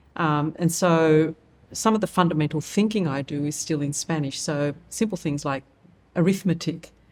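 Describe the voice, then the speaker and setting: Recorded very cleanly against a silent background, a woman with an Australian accent and a very deep, low pitch speaks at a moderate pace with ordinary pitch variation. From Australia, Wollongong. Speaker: nonprofit CEO. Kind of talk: interview.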